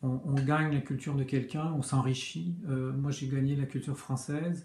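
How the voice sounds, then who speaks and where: The man's voice sits at a fairly high pitch with fairly even intonation. He keeps a moderate pace. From Quebec. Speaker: comic book author. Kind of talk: interview answers. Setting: video recording. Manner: hesitant, many fillers.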